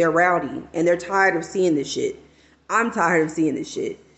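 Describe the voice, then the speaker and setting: This woman has an unremarkable speaking voice, with an American accent, ordinary pitch variation and a moderate pace. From Texas. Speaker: guest or frequent chat participant. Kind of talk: casual banter.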